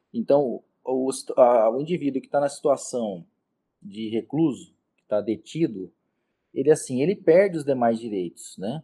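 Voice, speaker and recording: Lively intonation marks this man's dark, mellow tone as he talks at a moderate pace. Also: medium pitch for a man. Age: 40s. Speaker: criminal defense lawyer. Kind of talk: interview. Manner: halting.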